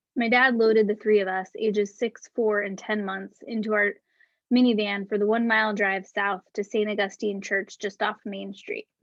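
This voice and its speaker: With a Northeastern US accent, a woman speaks at a moderate pace in a monotone, flat intonation and fairly high pitch. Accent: American (Northeast). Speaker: author. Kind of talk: reading aloud.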